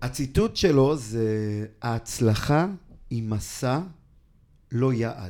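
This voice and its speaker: In a very clean recording with a silent background, a man with a dark, mellow tone speaks very slowly, leaving long, frequent pauses. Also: medium pitch for a man, ordinary pitch variation. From Israel, Ra'anana. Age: 30s. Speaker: charity foundation director. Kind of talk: interview.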